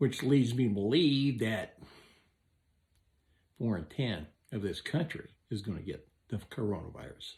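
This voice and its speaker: A somewhat breathy man's voice with lively intonation and long, frequent pauses. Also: medium pitch for a man, moderate pace. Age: 70s. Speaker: electrician and vlogger. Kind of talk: opinion monologue. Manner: animated.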